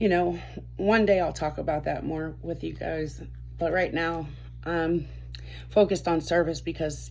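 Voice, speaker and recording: A woman speaks at a moderate pace, leaving long, frequent pauses. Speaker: tarot reader and spiritual guide. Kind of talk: casual talk to camera.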